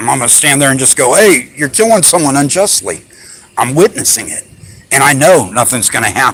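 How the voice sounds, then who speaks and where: With an animated tone and very wide pitch swings, a man talks at a fairly quick pace. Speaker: rights activist filming police. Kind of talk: confrontation with officer.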